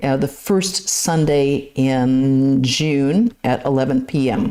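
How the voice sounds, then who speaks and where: Lively intonation marks a woman's very deep, low-pitched voice. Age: 60s. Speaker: nun and lecturer. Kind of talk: lecture Q&A and announcements. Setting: temple.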